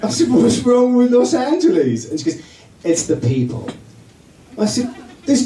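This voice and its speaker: A man's high-pitched voice with very wide pitch swings at a moderate pace, plus audible room echo and noticeable background noise. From England. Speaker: comedian. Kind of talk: stand-up. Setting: stage with audience. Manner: animated.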